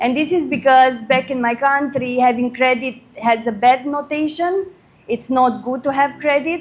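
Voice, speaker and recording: A woman with a Romanian accent speaks at a high pitch. Her pace is moderate and her pitch varies in an ordinary way. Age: 30s. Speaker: credit risk consultant. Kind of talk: workshop talk.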